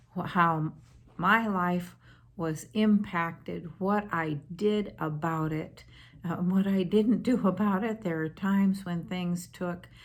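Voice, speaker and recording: In a room with audible echo, a woman speaks very slowly in a fairly low pitch with fairly even intonation. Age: 70s. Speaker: spiritual advisor. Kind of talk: talking to camera. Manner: hesitant, many fillers.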